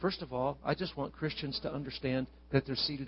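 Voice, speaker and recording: Somewhat breathy and fairly high-pitched, a man talks at a fairly quick pace in an animated, warm tone. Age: 60s. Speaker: visiting preacher. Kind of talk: sermon. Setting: church with congregation.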